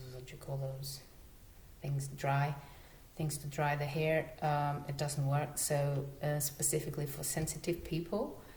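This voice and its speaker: A woman with a non-native accent, her pitch very deep and low, somewhat breathy, at a fairly slow pace with monotone, flat intonation. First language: not English. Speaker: natural living vlogger. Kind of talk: casual talk to camera. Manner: hesitant, stuttering.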